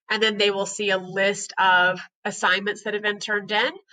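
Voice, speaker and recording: Bright and sharp in tone, a woman speaks at a medium pitch. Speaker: high school English teacher. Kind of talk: recorded presentation for parents. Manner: fast.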